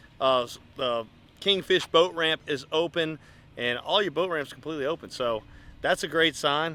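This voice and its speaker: On a very clean recording with a silent background, a man with a fairly high pitch speaks at a moderate pace. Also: ordinary pitch variation. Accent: slight Louisiana. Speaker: fishing charter captain and video host. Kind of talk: casual vlog narration.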